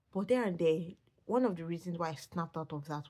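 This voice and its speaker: A woman speaks quietly with a Nigerian accent at a fairly quick pace. Her voice is fairly low in pitch with a dark, mellow tone. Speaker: vlogger. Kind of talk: personal vlog. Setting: at home. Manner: halting.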